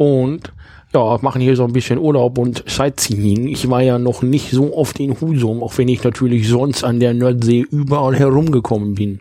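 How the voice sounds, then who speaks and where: A man talks at a moderate pace and medium pitch. His tone is dark and mellow, and his intonation fairly even. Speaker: podcast host. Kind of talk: casual chat. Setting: holiday rental in Husum. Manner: put-on northern German accent.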